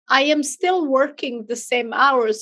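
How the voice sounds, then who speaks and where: A woman with a non-native accent at a fairly slow pace, with ordinary pitch variation. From outside the US. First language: not English. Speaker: business owner and virtual assistant franchise owner. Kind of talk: podcast interview.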